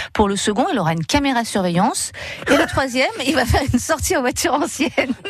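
Over noticeable background noise, a woman talks at a very fast pace in a high pitch with very wide pitch swings. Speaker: local radio contributor. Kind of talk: casual chat.

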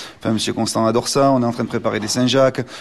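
A man speaks with a medium pitch. The intonation stays fairly even. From Béarn, near Pau (southwest France). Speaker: chef. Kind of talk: radio interview. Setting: on location in restaurant. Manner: hesitant, many fillers.

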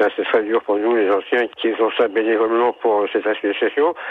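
Noticeable background noise sits under the recording. A man talks at a medium pitch and moderate pace with fairly even intonation. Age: old. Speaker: sports club volunteer. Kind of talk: radio interview.

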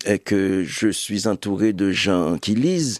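A man with a Haitian accent, in a dry, close sound with no echo and a quiet background. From Haiti, Cavaillon. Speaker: writer and publisher. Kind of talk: interview.

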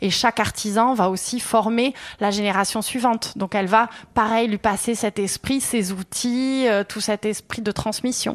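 The speaker is a woman talking at a moderate pace. Her intonation stays fairly even. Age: 30s. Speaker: craftswoman, workshop owner. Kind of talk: interview. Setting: workshop.

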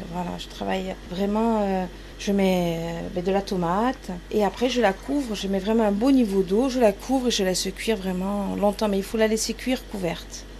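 A woman talks at a medium pitch. Noticeable background noise can be heard behind her. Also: fairly even intonation, moderate pace. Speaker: farm inn cook. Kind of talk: casual interview while cooking. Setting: farm inn kitchen and garden.

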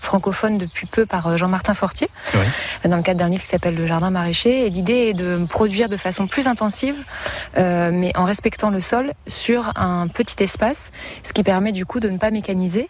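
There is noticeable background noise behind this woman. She speaks at a moderate pace and a medium pitch, with ordinary pitch variation. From Champagne-Ardenne, France. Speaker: organic market gardener. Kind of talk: interview. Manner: halting.

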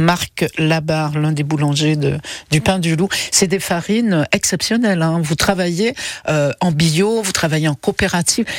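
A woman with a very deep, low pitch speaks at a fairly slow pace, her pitch varying in an ordinary way and her loudness very even. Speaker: radio host. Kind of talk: casual chat. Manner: animated.

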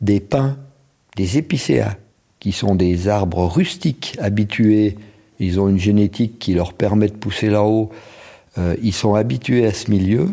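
This man has a fairly low pitch and a dark, mellow tone, and he talks at a very slow pace. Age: 60s. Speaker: ski patroller. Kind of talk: interview testimony.

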